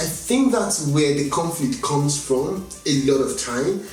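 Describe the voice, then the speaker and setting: The speech is very slow, with lively intonation. Noticeable background noise and audible room echo are present. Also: man. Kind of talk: interview. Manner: halting, repeats words.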